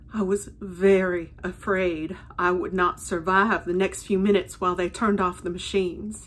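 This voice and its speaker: A woman with monotone, flat intonation and hardly any pauses. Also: moderate pace. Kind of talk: personal storytelling. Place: home room. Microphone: phone near.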